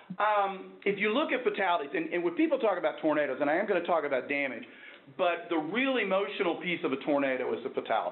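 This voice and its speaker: The speaker has a Texan accent and talks at a very fast pace with lively intonation. Loudness stays very even, and the room echo is audible. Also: man, high pitch for a man. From Texas, Dallas. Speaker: professor. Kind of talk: lecture. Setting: workshop with audience.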